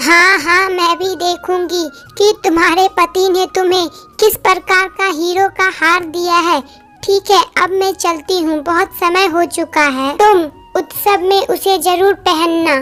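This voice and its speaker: In a cartoonish character voice pitched extremely high, a woman speaks at a moderate pace with fairly even intonation over faint background music. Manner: chatty, curious.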